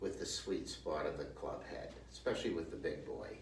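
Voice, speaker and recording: Audible room echo and noticeable background noise fill the clip. Through them, a man talks. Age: 60s. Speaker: golf instructor. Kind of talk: tutorial. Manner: halting.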